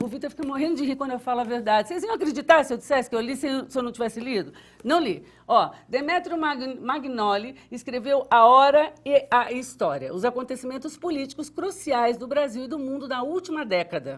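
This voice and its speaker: Against a quiet background, a woman with a high pitch talks at a fairly quick pace in an animated tone, with ordinary pitch variation and hardly any pauses. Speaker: TV show host. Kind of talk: TV book recommendation segment. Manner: stuttering today.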